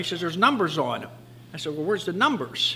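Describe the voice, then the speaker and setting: Over light background noise, a man's voice makes very wide pitch swings. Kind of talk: interview answer. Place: garage.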